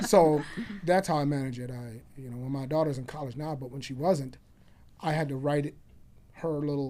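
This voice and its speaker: With audible room echo, a man with an American accent speaks at a fairly high pitch for a man and a fairly quick pace, his dark, mellow tone swinging widely in loudness between long, frequent pauses. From Chicago. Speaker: realtor and former loan officer. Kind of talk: podcast interview. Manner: animated.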